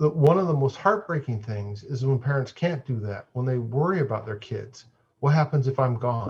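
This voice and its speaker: Somewhat breathy, a man talks at a medium pitch. His intonation is lively. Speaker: Buddhist monk and dharma teacher. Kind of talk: dharma talk. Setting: video call.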